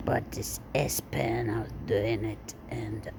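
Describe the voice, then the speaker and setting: The speaker is soft-spoken. Noticeable background noise and audible room echo surround the voice. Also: woman. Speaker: content creator. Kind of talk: casual chat.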